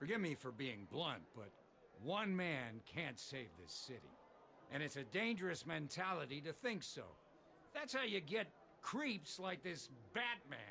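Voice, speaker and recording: In a gruff, put-on character voice, the speaker goes at a moderate pace with very wide pitch swings and long, frequent pauses. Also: man, fairly high pitch for a man. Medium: video game. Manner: blunt, gruff.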